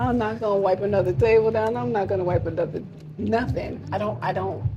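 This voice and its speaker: Speaking fairly quickly with an American accent, a woman uses a medium pitch and very wide pitch swings, with audible room echo and noticeable background noise. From US, New York. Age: 60s. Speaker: entrepreneur, mentor. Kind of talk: casual interview chat.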